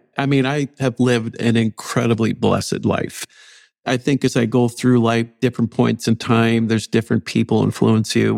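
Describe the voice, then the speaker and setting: In a very clean recording with a silent background and a dry, close sound without echo, a man with an Upper Midwest accent speaks at a moderate pace in a medium pitch with fairly even intonation. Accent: Upper Midwest American. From North Dakota, near Fargo. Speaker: university chancellor. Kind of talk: interview.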